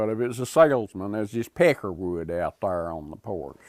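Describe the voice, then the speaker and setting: A man's fairly low voice with an Appalachian accent, lively intonation and a moderate pace, in a very clean recording with a silent background. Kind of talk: interview answer.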